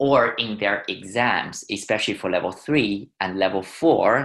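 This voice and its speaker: In a Chinese accent, a man speaks at a fairly slow pace with a bright, sharp tone. His pitch varies in an ordinary way over a quiet background. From China. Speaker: wine educator. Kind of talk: webinar tutorial.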